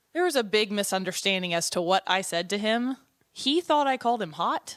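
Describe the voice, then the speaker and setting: A woman at medium pitch with very wide pitch swings and a fairly quick pace, on a very clean recording with a silent background and dry, close sound with no echo. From Arkansas. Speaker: church ministry director. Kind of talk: casual chat.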